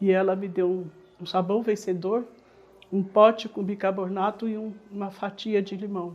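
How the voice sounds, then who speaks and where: Ordinary pitch variation in a woman's voice of medium pitch, with a dark, mellow tone. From Brazil, São Paulo (Brasilândia, north zone). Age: 70s. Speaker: interviewee sharing life story. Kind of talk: personal testimony.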